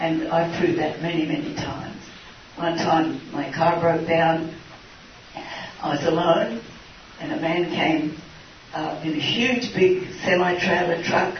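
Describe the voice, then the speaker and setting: A woman with an Australian accent speaks fairly slowly, with fairly low pitch, fairly even intonation and long, frequent pauses. Noticeable background noise and audible room echo surround her voice. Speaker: missionary nurse. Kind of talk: question and answer session.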